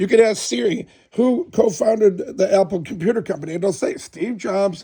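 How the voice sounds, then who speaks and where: Lively intonation moves through a dark, mellow tone delivered at a fairly slow pace. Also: man. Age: 60s. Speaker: restoration company salesperson. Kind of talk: casual sales chat with customers.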